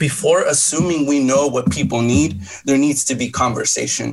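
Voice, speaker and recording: A man speaks at a moderate pace in a normal speaking voice, his fairly high pitch moving with ordinary variation. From Los Angeles. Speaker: pastor. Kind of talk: debate.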